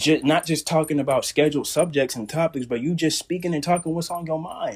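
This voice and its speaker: In a very clean recording with a silent background, a man speaks very fast in a fairly high, somewhat breathy voice. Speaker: podcast host. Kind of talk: casual monologue. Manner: stuttering; animated.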